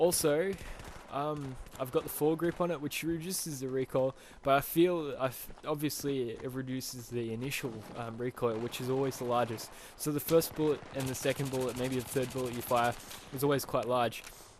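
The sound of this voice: At a moderate pace, a man speaks with fairly even intonation. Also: medium pitch for a man.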